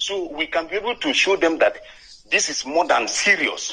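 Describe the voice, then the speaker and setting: A man speaks with a Nigerian accent and lively intonation. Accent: Nigerian Igbo English. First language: not English. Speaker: caller. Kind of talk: call-in comment. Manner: halting.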